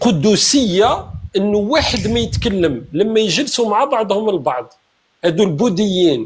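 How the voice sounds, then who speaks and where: A high-pitched man's voice with very wide pitch swings at a fairly slow pace. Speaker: political commentator in online debate. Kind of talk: heated debate. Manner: animated.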